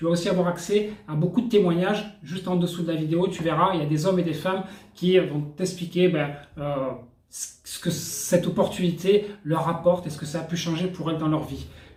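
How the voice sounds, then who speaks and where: This man's voice sits high in pitch, heard with audible room echo and noticeable background noise. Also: fairly even intonation, moderate pace. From France. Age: 40s. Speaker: network marketing entrepreneur. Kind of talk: sales pitch. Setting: hotel room. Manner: casual, hesitant with fillers.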